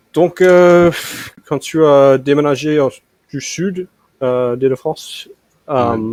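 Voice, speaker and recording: With an American accent, a man speaks very slowly in a fairly high voice, with ordinary pitch variation and long, frequent pauses, in a dry, close sound with no echo. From United States. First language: English (speaking French). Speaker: language learner. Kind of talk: language lesson. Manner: halting.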